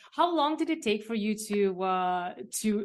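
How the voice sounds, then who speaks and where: Recorded very cleanly against a silent background, a woman with a medium pitch speaks at a fairly slow pace. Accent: Romanian. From Romania. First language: Romanian. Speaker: podcast co-host, writer. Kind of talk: interview. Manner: halting.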